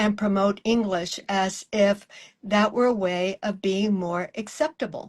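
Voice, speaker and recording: A woman talks at a fairly slow pace with medium pitch and fairly even intonation. It is an ordinary speaking voice. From South Texas. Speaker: interviewer. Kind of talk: interview conversation.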